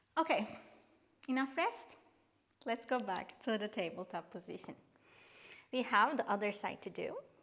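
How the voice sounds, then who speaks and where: Lively intonation runs through this speech in a non-native accent, which has long, frequent pauses. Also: woman, fairly high pitch for a woman, moderate pace. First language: not English. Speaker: yoga instructor. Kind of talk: guided workout instruction; casual chat. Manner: halting.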